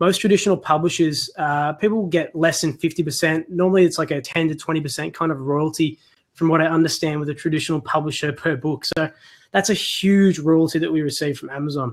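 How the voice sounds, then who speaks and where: With ordinary pitch variation, this speaker moves along at a fairly quick pace. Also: man. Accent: Australian. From Australia. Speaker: self-publisher and online course creator. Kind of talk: webinar presentation. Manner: casual, conversational.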